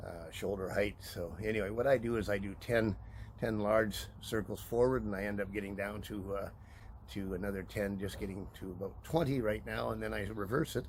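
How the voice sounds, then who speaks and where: This man talks at a fairly quick pace in a fairly low pitch, with vocal fry and ordinary pitch variation. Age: 70s. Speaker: supplement promoter. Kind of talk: casual vlog demonstration. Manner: halting, many fillers.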